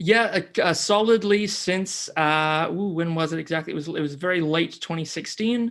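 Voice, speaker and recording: In a normal speaking voice with an American accent, a man talks at a moderate pace and a fairly high pitch with ordinary variation, recorded very cleanly against a silent background. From US Pacific Northwest, near Seattle; teens in New Zealand. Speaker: climate podcaster. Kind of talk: interview.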